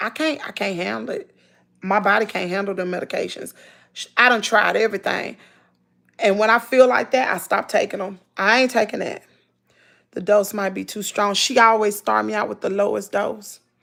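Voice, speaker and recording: This woman's voice carries vocal fry and ordinary pitch variation, with big swings in loudness. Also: medium pitch for a woman, moderate pace. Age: 40s. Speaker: lifestyle vlogger. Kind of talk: live stream chat. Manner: animated.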